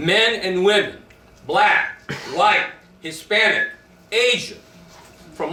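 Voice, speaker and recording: The voice is raised and projected, with audible room echo and noticeable background noise. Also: man. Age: 60s. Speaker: army veteran. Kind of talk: speech at a rally. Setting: stage with audience. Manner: impassioned.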